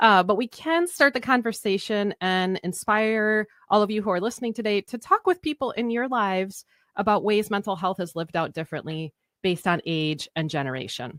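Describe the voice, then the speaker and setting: A woman with a plain, everyday voice at medium pitch, fairly quick and with lively intonation, in a very clean, dry, close recording with a silent background and no echo. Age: 40s. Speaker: podcast host. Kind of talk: casual chat.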